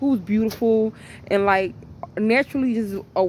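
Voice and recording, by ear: A woman's fairly high voice, slightly mellow in tone, with fairly even intonation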